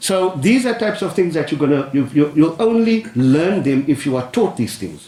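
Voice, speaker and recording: A loud man with a fairly high voice speaks at a moderate pace with very wide pitch swings, amid noticeable background noise and audible room echo. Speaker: business adviser. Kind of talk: panel discussion. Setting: council chamber with audience. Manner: animated.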